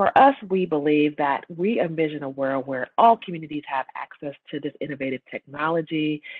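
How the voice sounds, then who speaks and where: A woman speaks in a very deep, low voice at a fairly quick pace. Her pitch varies in an ordinary way over a quiet background. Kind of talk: presentation talk. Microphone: webcam.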